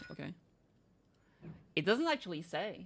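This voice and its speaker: A woman speaks in a slight French accent. Her intonation is lively. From France. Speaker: vtuber streamer. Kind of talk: casual gameplay livestream chat. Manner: casual, thinking aloud.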